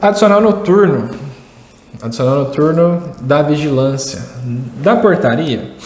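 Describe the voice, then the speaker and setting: Amid noticeable background noise and audible room echo, a man with a Minas Gerais accent speaks at a fairly high pitch with lively intonation. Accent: Minas Gerais (mineiro). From Brazil, Minas Gerais. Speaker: security industry educator. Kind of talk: tutorial. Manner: conversational, rhetorical questions.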